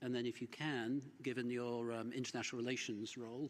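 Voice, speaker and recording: At a fairly quick pace, a man talks in a monotone, flat way at medium pitch. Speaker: panel moderator. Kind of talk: panel moderation. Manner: fast; hesitant, many fillers.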